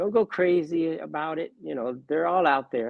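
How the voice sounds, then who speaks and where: Using a normal speaking voice, a man speaks at a moderate pace, fairly high in pitch, with lively intonation. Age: 60s. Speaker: card collector and part-time dealer. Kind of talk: interview.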